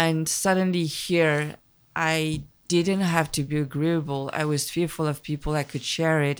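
A woman with a French accent, very deep, low pitch, monotone, flat intonation, moderate pace, very clean recording and silent background. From Paris, France, of Vietnamese immigrant parents. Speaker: film director. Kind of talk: casual interview conversation. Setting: small temple in a rural valley.

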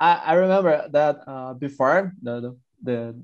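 Against a quiet background, a man with a Brazilian accent talks at a fairly slow pace, his pitch varying in an ordinary way. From Sao Paulo countryside, Brazil. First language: Portuguese. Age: 20s. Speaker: scientist, language learner. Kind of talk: casual group chat. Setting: video call, breakout room.

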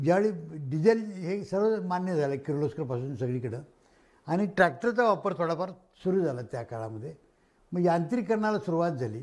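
A man with a high pitch speaks in very wide pitch swings. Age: 70s. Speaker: agricultural scientist. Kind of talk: lecture. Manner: conversational, loosely structured.

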